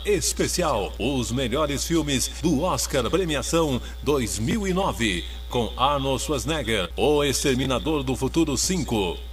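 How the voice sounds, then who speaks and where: A man at a very slow pace, his loudness very even, with music in the background. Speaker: voice-over announcer. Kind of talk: TV promo voice-over.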